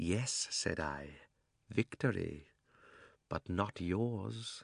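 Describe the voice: In a very clean recording with a silent background and a dry, close sound with no echo, a man puts on a character voice that is low-pitched, with lively intonation, vocal fry and a slightly husky edge, at a very slow pace.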